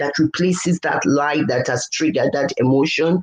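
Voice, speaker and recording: A woman with a plain, everyday voice talks at a moderate pace, using ordinary pitch variation. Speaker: leadership coach. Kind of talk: interview.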